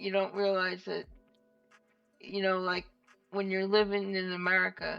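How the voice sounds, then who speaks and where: A woman with a New York accent speaks at a medium pitch in a monotone, flat way. Music plays in the background. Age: 50s. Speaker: rock guitarist. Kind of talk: casual interview chat.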